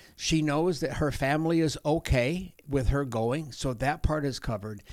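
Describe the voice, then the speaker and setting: At a fairly slow pace, a man with an American accent speaks with ordinary pitch variation in a very clean recording with a silent background. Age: 60s. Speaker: outreach coordinator, former pastor. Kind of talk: interview, conversational. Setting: office interview. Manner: warm, enthusiastic, animated.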